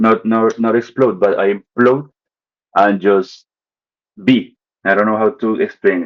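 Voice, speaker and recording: With a Spanish accent, a man at a medium pitch speaks at a fairly slow pace with fairly even intonation and long, frequent pauses. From Colombia, Bogota. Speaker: artist. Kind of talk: casual chat. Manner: halting.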